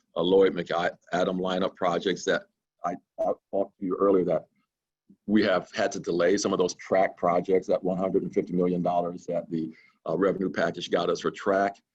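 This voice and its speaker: A man's very deep, low voice in a monotone, flat delivery at a moderate pace. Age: 60s. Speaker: state transportation director. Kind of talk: webinar Q&A interview.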